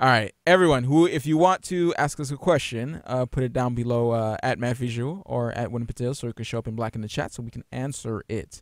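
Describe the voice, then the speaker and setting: A normal speaking voice from a man, medium in pitch, with ordinary pitch variation, a moderate pace, and a dry, echo-free sound over a quiet background. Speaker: gaming podcast co-host. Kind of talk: casual chat. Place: home room. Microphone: studio mic.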